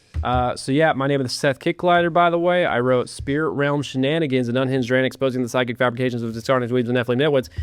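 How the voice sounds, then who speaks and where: At a very fast pace with hardly any pauses, a man talks with ordinary pitch variation. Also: medium pitch for a man. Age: 20s. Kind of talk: podcast interview. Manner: casual, hesitant fillers.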